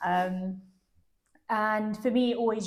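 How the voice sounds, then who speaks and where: This woman speaks in an English accent with fairly even intonation. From London, England. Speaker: travel interview guest. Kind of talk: interview.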